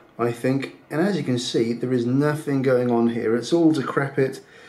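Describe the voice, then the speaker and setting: At a fairly slow pace, a man is talking. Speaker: travel vlogger. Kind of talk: casual vlog chat. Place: hall. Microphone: phone near.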